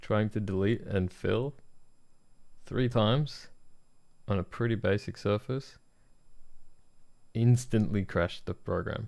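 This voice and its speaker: Speaking with an Australian accent, a man uses a fairly low pitch and fairly even intonation, leaving long, frequent pauses. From Australia (country Victoria, near Melbourne). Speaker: product designer streaming design work. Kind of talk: live stream, casual chat while working.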